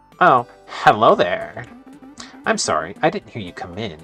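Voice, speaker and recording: Someone talks at a moderate pace in a put-on character voice. Faint music plays in the background. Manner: fake-polite, passive-aggressive.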